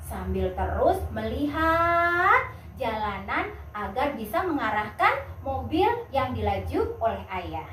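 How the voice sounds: A woman speaks at fairly high pitch and a slow pace, with big pitch swings. Her tone is fairly bright, and there is audible room echo.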